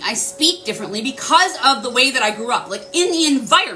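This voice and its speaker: A woman with a high pitch speaks loudly and at a fairly quick pace in an animated tone, her pitch swinging very widely, with noticeable background noise behind her. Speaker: spiritual livestreamer. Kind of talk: casual livestream talk. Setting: livestream.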